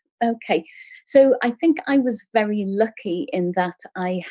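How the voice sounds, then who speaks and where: This woman speaks with an English accent and lively intonation. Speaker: clinical hypnotherapist. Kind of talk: interview. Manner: gentle; animated when passionate.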